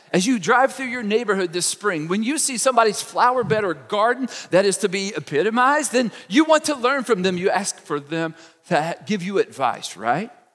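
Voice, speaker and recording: Against noticeable background noise, a high-pitched man speaks at a moderate pace with lively intonation. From Kentucky. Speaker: pastor. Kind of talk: sermon. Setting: church. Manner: casual, conversational.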